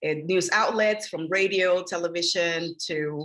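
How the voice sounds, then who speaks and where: A woman speaks with a Spanish accent. Her pitch sits fairly low. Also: quiet background. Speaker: media trainer, former journalist. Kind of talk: workshop presentation over video call.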